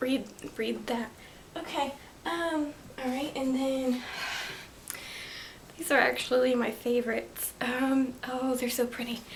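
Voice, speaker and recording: A woman with a high pitch speaks fairly slowly, with long, frequent pauses and fairly even intonation. Audible room echo and noticeable background noise fill the recording. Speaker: booktuber. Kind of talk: casual vlog book haul. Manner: hesitant, many fillers.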